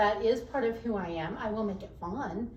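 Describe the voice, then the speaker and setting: An animated tone carries this American accent at a fairly slow pace. There is audible room echo and noticeable background noise. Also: woman. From Texas (Dallas area). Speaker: HR professional. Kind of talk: podcast interview.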